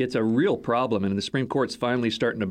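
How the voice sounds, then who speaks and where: Showing ordinary pitch variation, the man has a normal speaking voice. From Texas. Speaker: think tank executive. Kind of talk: interview. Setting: studio.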